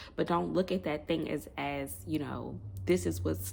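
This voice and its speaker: Very deep and low, a woman's voice carries vocal fry at a fairly slow pace. Her pitch swings very widely. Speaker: online prophetic minister. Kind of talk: prophetic word monologue.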